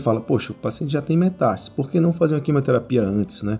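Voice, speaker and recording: Lively intonation marks this man's somewhat breathy voice, which has a dark, mellow tone. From Brazil, Natal. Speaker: surgical oncologist. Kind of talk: interview.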